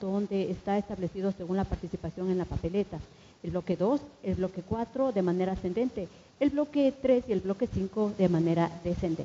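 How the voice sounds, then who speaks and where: A woman talks at a moderate pace in an ordinary speaking voice, medium in pitch with ordinary pitch variation. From Ecuador. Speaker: journalist, debate moderator. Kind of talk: formal debate moderation. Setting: stage in a theatre. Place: stage. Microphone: handheld.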